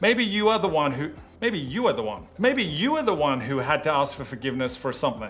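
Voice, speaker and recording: Fairly quick speech from a man with an Australian accent, fairly high pitch and very wide pitch swings, in audible room echo. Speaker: youth pastor. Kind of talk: sermon.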